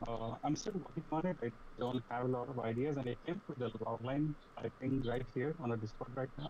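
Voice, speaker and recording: Over light background noise, a man speaks at a moderate pace with ordinary pitch variation and long, frequent pauses, the sound dry with no echo. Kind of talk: reading own logline and brief explanation. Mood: hesitant, tentative. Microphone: video call.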